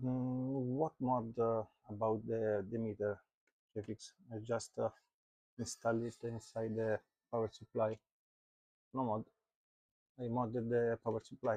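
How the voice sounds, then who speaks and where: With a dark, mellow tone and monotone, flat intonation, the voice comes through dry and close with no echo, broken by long, frequent pauses. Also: man, medium pitch for a man, fairly slow pace. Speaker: electronics repair youtuber. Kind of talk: live stream repair diagnosis. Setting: live stream. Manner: halting, many fillers. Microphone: low volume, USB hub issues.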